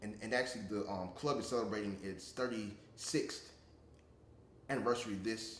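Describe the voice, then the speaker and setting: Somewhat breathy and with fairly even intonation, a man speaks with long, frequent pauses amid audible room echo. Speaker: interviewee, public speaking club member. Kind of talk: interview. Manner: halting, many repetitions.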